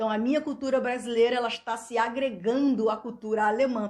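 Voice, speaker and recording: With a Brazilian accent, a woman talks at a fairly high pitch with fairly even intonation. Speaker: YouTuber. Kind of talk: vlog monologue. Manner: loud; halting.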